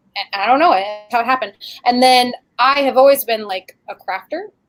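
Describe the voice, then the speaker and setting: An unremarkable speaking voice belongs to this woman. She talks at a moderate pace with ordinary pitch variation. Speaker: YouTube creator and crafter. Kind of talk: casual chat.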